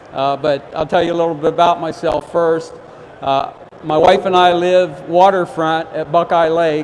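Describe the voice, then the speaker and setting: Over noticeable background noise, a man with an American accent and a high pitch talks at a fairly slow pace. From Ohio. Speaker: fishing expert giving a seminar. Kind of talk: seminar talk. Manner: loud; halting, many fillers.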